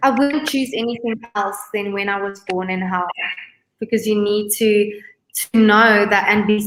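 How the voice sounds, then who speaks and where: A woman's normal speaking voice, medium in pitch, fairly even in intonation and moderate in pace. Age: 20s. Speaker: beauty queen. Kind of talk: interview.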